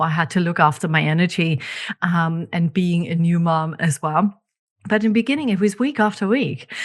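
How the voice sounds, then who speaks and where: A woman with a German accent speaks at a moderate pace, somewhat breathy, with ordinary pitch variation. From Germany. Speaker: podcast host, leadership coach. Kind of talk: podcast solo monologue.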